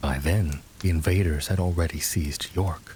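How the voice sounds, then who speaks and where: A man at a moderate pace, his pitch very deep and low, noticeable background noise around him. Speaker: voice actor. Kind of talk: sleep story.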